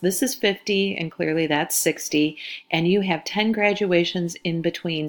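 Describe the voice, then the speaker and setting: An unremarkable speaking voice: a woman at a fairly low pitch, moderate pace and ordinary pitch variation. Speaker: high school chemistry teacher. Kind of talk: recorded lesson.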